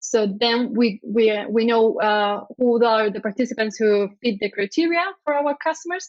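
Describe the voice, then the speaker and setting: A woman speaks with a Spanish accent at a fairly slow pace. Her pitch is fairly high, with ordinary variation. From Spain. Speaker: product designer. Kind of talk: conference talk. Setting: conference stage, streamed online. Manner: hesitant, many fillers.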